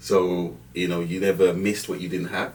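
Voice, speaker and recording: A man with a very deep, low voice is heard with audible room echo. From Jamaica, Kingston, then North London. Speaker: banking director. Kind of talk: podcast interview. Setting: studio.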